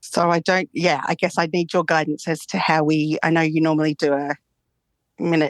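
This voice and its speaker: A woman talks at a fairly quick pace with a fairly low pitch and very even loudness, the sound dry and close with no echo, over a quiet background. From Australia. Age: 50s. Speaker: psychologist. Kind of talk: therapy session call.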